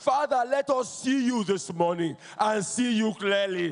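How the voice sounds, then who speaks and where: A man's very slow delivery with lively intonation. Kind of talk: led congregational prayer. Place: church. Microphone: handheld.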